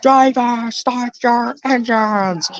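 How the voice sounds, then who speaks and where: A put-on character voice, female-sounding and high-pitched. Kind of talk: announcer. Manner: excited, hyped-up.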